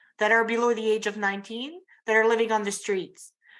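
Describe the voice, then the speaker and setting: A woman speaks with an Acadian accent at a fairly high pitch. Her tone is bright and sharp in a very clean recording with a silent background. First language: French. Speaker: youth program worker. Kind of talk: audience question at symposium. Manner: halting.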